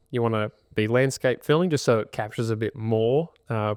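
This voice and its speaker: A man with an Australian accent speaks at a medium pitch. The recording is very clean, with a silent background. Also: dry, close sound with no echo. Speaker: podcast host, buyer's agent. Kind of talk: podcast tutorial chat. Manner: volume toned down.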